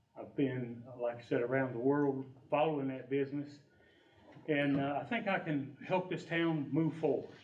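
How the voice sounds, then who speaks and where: A man with an American accent speaks at a fairly high pitch and a moderate pace, with ordinary pitch variation. There is audible room echo and noticeable background noise. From Ohio. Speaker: election candidate. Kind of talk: candidate forum speech. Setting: community room with audience.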